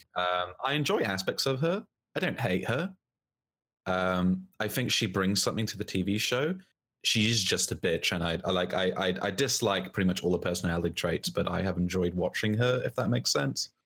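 With a New Zealand accent, a man speaks in a very deep, low voice at very even loudness. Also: ordinary pitch variation, moderate pace, very clean recording, silent background. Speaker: podcast co-host. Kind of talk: casual chat.

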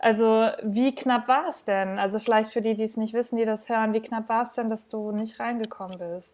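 The pace is moderate and the intonation fairly even. It is a very clean recording with a silent background. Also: woman, fairly high pitch for a woman. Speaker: podcast host. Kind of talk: casual interview.

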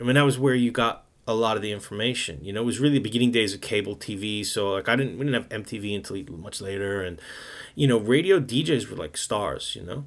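With a New York accent, a man talks at a very fast pace and a medium pitch. His intonation is lively, and the recording is very clean with a silent background. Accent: New York American. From New York City. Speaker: jazz radio host and DJ. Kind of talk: casual interview.

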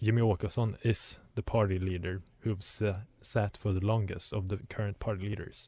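Speaking with hardly any pauses, the man has a fairly low, somewhat breathy voice with a dark, mellow tone. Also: moderate pace. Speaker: radio host. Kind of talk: radio DJ patter, station ID and song back-announcing. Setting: studio. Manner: brisk, chatty, upbeat.

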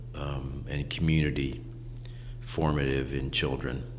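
Over noticeable background noise and audible room echo, the speaker talks at a fairly slow pace with a Midwestern American accent. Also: man. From Ohio, Lakewood near Cleveland. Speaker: school founder and educator. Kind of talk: casual interview. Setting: in person, Lakewood Ohio.

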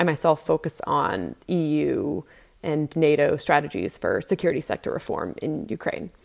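A woman at a moderate pace on a very clean recording with a silent background. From US, Boston. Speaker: university researcher. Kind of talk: interview testimony.

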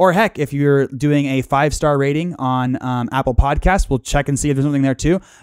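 In a very clean recording with a silent background and a dry, close sound without echo, a man with an ordinary speaking voice talks at a fairly quick pace with hardly any pauses, a fairly high pitch and ordinary pitch variation. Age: 30s. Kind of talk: casual chat.

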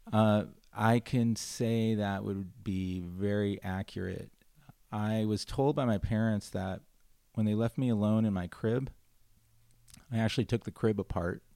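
In a Californian accent, a man with a fairly low, dark, mellow voice speaks with fairly even intonation. His pace is fairly slow, with long, frequent pauses. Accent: Californian American English. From Los Angeles, San Fernando Valley. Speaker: restaurant founder and CEO. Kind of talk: casual interview chat.

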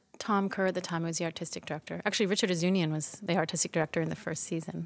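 With a Canadian accent, a woman talks in an ordinary speaking voice, fairly low in pitch, with ordinary pitch variation. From Toronto, Canada. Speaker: lighting designer. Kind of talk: interview conversation. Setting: theatre library.

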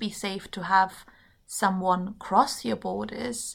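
In a very clean recording with a silent background, a woman with a German accent speaks at a very slow pace. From Germany. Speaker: politics student. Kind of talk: casual chat.

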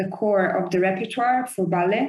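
A woman of medium pitch speaks in an Italian accent. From Italy. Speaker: orchestra conductor. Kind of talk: interview. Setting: video call.

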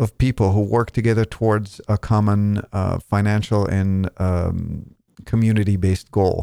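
With an Israeli accent, a man speaks at a moderate pace in a dark, mellow tone, recorded dry and close with no echo, very clean, over a silent background. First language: Hebrew. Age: 40s. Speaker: podcast host. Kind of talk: interview.

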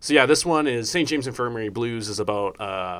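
The speaker has an unremarkable speaking voice, a moderate pace, and ordinary pitch variation. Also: man. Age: 20s. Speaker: student podcast host. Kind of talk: casual chat. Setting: campus radio studio.

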